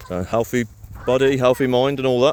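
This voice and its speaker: Noticeable background noise sits behind a man talking at a fairly quick pace in a Birmingham accent. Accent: Birmingham (Brummie). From Birmingham, England. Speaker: property renovation business owner. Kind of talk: casual vlog. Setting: outdoors in a park. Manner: monotone.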